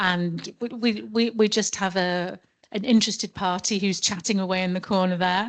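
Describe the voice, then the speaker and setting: A woman's medium-pitched voice in a British accent, fairly slow with ordinary pitch variation, over a quiet background. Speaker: law professor and solicitor chairing a forum session. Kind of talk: conference session introduction. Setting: conference room with audience. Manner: naturally loud; hesitant, with repeated words.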